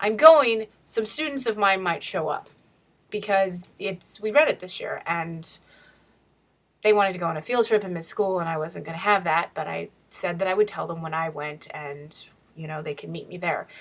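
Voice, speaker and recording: Her medium-pitched voice has lively intonation at a moderate pace. This woman's loudness swings a lot. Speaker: teacher and writer vlogger. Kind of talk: casual video diary. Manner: chatty.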